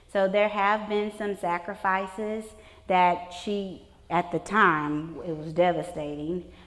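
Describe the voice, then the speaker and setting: With an American accent, a woman speaks at a very slow pace and a medium pitch. Her intonation is fairly even, and audible room echo surrounds her. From Texas. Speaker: elementary school principal. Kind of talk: conference talk.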